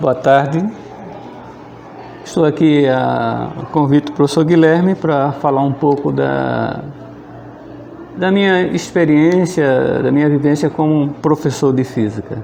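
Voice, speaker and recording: Over noticeable background noise, a man with a fairly high pitch speaks at a fairly slow pace, leaving long, frequent pauses. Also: ordinary pitch variation. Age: 60s. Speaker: physics teacher. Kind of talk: oral history interview, personal recollection. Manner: conversational, with hesitations and repetitions.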